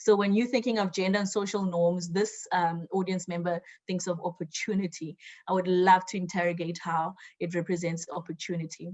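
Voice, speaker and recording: Somewhat breathy and medium in pitch, a woman's voice moves at a fairly quick pace with monotone, flat intonation. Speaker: webinar moderator. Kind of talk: webinar moderation. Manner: many fillers, conversational.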